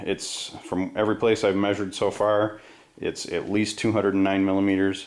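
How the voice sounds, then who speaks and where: The man's voice sits at a fairly low pitch. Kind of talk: tutorial. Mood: pleased, calm. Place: workshop. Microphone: phone near.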